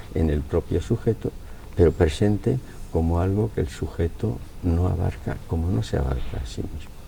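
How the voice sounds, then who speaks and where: Lively intonation marks a man's very deep, low voice as he speaks at a moderate pace. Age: 80s+. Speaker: philosopher. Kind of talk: interview answer.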